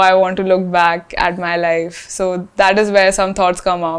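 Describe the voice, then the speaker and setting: A woman's medium-pitched voice moves along at a fairly slow pace. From India, Rajasthan. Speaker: fashion brand founder. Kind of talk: interview. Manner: hesitant, many fillers.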